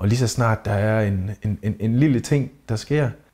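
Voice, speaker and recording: A man with a dark, mellow tone speaks fairly slowly at a fairly low pitch and with fairly even intonation, in a very clean recording with a silent background. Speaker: thai boxer. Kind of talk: interview.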